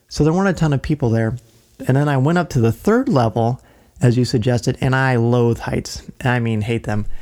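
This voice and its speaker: Using a plain, everyday voice, a man talks at a fairly quick pace at medium pitch with ordinary pitch variation. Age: 40s. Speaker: podcast co-host. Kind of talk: casual chat.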